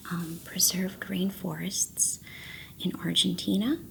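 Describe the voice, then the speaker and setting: A soft-spoken woman with a fairly low pitch and a relaxed tone, over noticeable background noise. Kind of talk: ASMR tea-making ramble to camera. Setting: binaural stereo mic, close-up recording. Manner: soft-spoken, relaxed.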